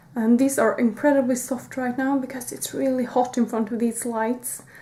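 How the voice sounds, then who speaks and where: A woman speaks with a high pitch and a dark, mellow tone. Her intonation is fairly even. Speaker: beauty YouTuber. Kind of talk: product review vlog. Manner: hesitant, many fillers.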